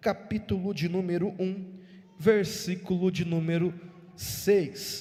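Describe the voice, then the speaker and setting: This man speaks very slowly in a high pitch with a flat, monotone delivery. His tone is dark and mellow. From Brazil, São Paulo state. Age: 20s. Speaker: evangelical preacher. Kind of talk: church sermon.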